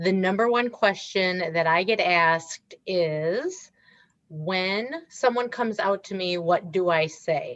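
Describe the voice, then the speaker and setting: The speaker talks at a very slow pace with a Wisconsin accent. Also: woman, medium pitch for a woman, ordinary pitch variation. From Wisconsin, US Midwest. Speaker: author and diversity speaker. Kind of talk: interview.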